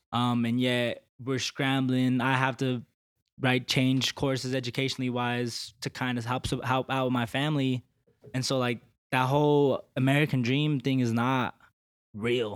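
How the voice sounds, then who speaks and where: At a fairly slow pace, a man of medium pitch speaks in a monotone, flat way with very even loudness. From Colorado. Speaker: legislative aide. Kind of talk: casual chat.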